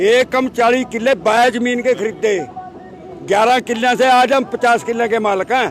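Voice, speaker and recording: Crowd noise fills the background as a man speaks at an extremely high pitch with very even loudness. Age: 80s+. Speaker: farmer. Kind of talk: street interview. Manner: animated.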